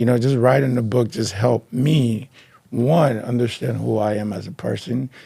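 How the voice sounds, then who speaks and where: A somewhat breathy man with a Liberian accent, a dark, mellow tone and a moderate pace. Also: medium pitch for a man, ordinary pitch variation. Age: 40s. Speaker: author and marketing researcher. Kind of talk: interview.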